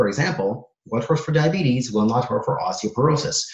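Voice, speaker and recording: A man speaks at a fairly quick pace with a medium pitch. His intonation is lively and his voice is somewhat breathy. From Soviet Union (Kazakhstan), Israel, then Canada from age ten. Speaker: personal trainer and fitness author. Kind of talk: podcast interview.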